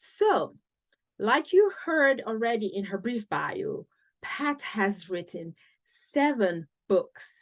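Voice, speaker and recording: Speaking at a very slow pace, a woman with a Cameroonian accent uses a high voice that swings very widely in pitch. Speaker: podcast host. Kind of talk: podcast interview.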